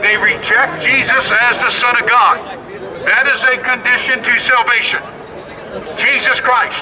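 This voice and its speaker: Over crowd noise in the background, a man with an American accent talks at a fairly slow pace with long, frequent pauses, an extremely high pitch, fairly even intonation and very even loudness. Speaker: street preacher. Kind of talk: street preaching to a crowd. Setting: outdoors, public street. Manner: loud, forceful, confrontational.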